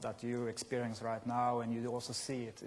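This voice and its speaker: A man's voice at a moderate pace with a Scandinavian accent. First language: Scandinavian language. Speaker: software company presenter. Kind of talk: conference presentation. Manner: halting.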